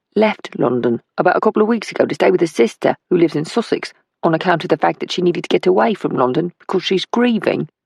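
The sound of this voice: Behind the speaker, the background stays quiet. The delivery is an unforced reading voice.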